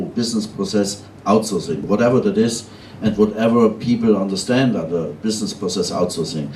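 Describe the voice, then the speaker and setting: Amid audible room echo, a man talks at a moderate pace in a fairly low pitch with ordinary pitch variation. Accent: German. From Germany. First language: German. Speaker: outsourcing company founder. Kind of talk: conference panel talk.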